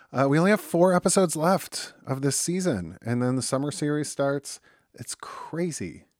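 A man with an American accent, fairly high pitch, ordinary pitch variation and a moderate pace. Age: 40s. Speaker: podcast host. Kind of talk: casual chat; podcast intro/outro monologue.

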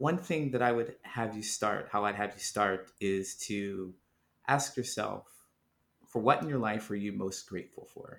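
A man with an American accent speaks at a fairly slow pace in a fairly low voice, his pitch moving in an ordinary way, an ordinary speaking voice. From Ohio, US Midwest. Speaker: author and speaker on loneliness. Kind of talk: interview.

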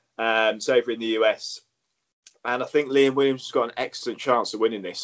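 His voice sits at a medium pitch. He delivers every line in a flat, monotone way. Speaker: podcast co-host. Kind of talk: casual chat.

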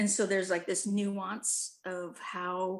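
She speaks with an American accent. The woman's pitch is medium. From Humboldt County, California. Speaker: podcast host. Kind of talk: casual chat. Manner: animated, jokey.

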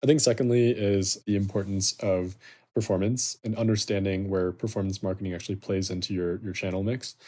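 With an American accent, a man speaks at a very fast pace in a fairly low, dark, mellow tone with fairly even intonation on a very clean recording with a silent background. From US Midwest, Chicago. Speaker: startup founder. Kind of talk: interview.

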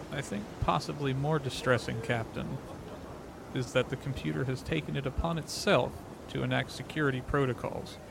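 A man's medium-pitched voice with lively intonation at a fairly quick pace, over noticeable background noise. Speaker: tabletop roleplayer and streamer. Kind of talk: tabletop roleplaying game, in-character play.

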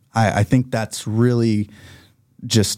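The man's tone is dark and mellow. The recording is very clean, with a silent background. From Oklahoma, US. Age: 30s. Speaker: gym owner. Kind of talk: casual chat. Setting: studio.

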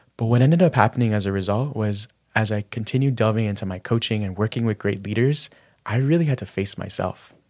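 Soft-spoken and at medium pitch, a man talks at a fairly quick pace with ordinary pitch variation, in a dry, close recording that is very clean, with no echo and a silent background. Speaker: lifestyle and business coach. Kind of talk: casual interview chat.

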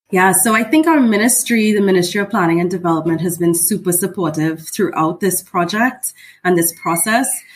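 Speaking at a fairly quick pace, a woman's somewhat breathy voice moves with ordinary pitch variation. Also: medium pitch for a woman. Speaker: heritage preservation officer. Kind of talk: casual interview.

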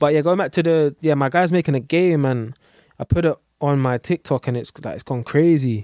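In a London accent, a man speaks at a fairly quick pace with a fairly high pitch and ordinary pitch variation, the sound dry and close with no echo. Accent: London urban English. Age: 20s. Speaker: tattoo artist. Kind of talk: casual chat.

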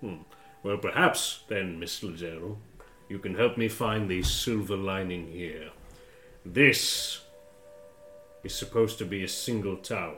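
Fairly slow speech with fairly even intonation over music in the background. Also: man, fairly low pitch for a man. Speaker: game master voicing a monster character. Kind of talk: tabletop roleplaying game, in-character dramatic monologue as a monster and the Warden.

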